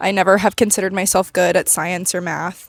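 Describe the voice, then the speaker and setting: Shaky and at a very fast pace, a woman speaks in a medium pitch, the sound dry and close with no echo. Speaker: vlogger, pre-med student. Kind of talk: casual vlog monologue. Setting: outdoors walking downtown. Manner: shaky voice from nerves.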